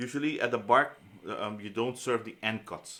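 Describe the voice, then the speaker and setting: Bright and sharp in tone, a man talks with ordinary pitch variation. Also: very clean recording, silent background. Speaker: culinary instructor. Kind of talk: lecture. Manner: fast; halting.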